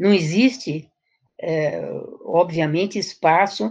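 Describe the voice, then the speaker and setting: A woman talks at a very slow pace. Her voice sits at a medium pitch with ordinary variation. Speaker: education professor. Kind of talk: interview.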